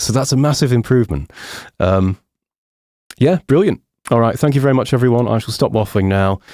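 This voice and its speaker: A man with a dark, mellow tone speaks at a fairly quick pace with lively intonation and very even loudness, taking long, frequent pauses, in a very clean recording with a silent background and a dry, close sound with no echo. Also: medium pitch for a man. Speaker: software tutorial presenter. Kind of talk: live stream Q&A and sign-off. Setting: live stream. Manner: casual, hesitant with fillers.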